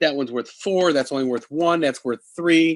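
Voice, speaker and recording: A man has a plain, everyday voice at a fairly high pitch, moving at a moderate pace with lively intonation in a dry, close sound with no echo. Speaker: game store owner demonstrating games. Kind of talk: product demonstration.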